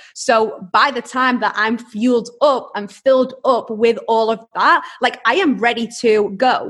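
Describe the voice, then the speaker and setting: A woman with a high voice speaks fairly slowly, with hardly any pauses and ordinary pitch variation. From UK. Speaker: entrepreneur. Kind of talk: interview.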